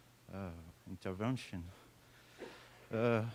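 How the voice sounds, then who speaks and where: A man with a French accent and fairly even intonation, on a very clean recording with a silent background. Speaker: military officer. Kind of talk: conference comment.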